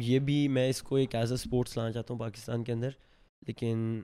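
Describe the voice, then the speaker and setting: A man speaks with a dark, mellow tone. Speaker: mountain climber. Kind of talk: interview.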